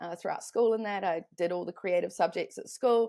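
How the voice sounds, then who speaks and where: A woman with a New Zealand accent, at a fairly quick pace. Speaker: online business consultant. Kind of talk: podcast interview.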